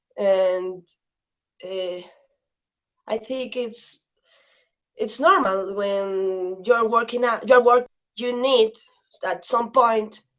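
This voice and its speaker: Speaking very slowly with a Spanish accent, a woman keeps her intonation fairly even. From Mexico, Veracruz. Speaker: activist and journalist. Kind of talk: interview. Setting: video call. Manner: halting.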